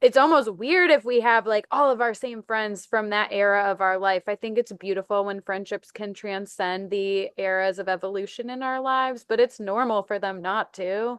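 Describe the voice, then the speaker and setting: A woman with a normal speaking voice talks at a moderate pace in a medium pitch with ordinary pitch variation. The sound is dry and close with no echo, over a quiet background. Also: hardly any pauses. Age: 30s. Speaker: podcast host. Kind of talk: casual chat.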